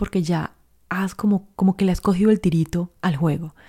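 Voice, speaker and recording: A woman with a medium pitch, a warm tone and a somewhat breathy sound, at a moderate pace with fairly even intonation, in a dry, close recording with no echo. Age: 40s. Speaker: life coach podcast host. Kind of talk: solo podcast monologue.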